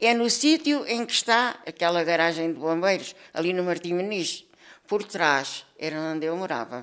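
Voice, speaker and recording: Speaking with a Lisbon accent, a woman has a fairly low pitch. Her pace is moderate and her intonation lively. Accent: Lisbon European Portuguese. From Lisbon, Portugal. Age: 70s. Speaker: elderly interviewee sharing memories. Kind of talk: oral history interview. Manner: halting, with repetitions.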